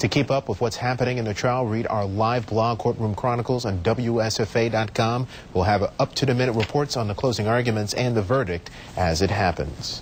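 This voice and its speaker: Noticeable noise sits behind a voice whose pitch varies in an ordinary way. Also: man, medium pitch for a man, fairly quick pace. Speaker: television news anchor and reporter. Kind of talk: television newscast anchor delivery.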